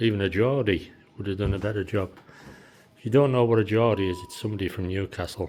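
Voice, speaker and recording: Talking at a very fast pace, a man with a Teesside accent keeps a fairly low pitch and fairly even intonation. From Teesside, England. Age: 60s. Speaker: DIY house renovator. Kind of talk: casual talk to camera, walkthrough.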